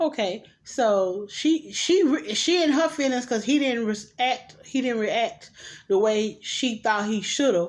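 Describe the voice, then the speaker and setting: A woman at a moderate pace, an ordinary speaking voice with ordinary pitch variation, on a very clean recording with a silent background. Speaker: vlogger reviewing movies. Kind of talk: casual movie recap.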